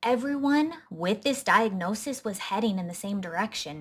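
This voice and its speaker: A woman talks at a fairly slow pace, her fairly high voice somewhat breathy. Her intonation is lively. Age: 30s. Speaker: health coach and vlogger. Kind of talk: personal testimony to camera.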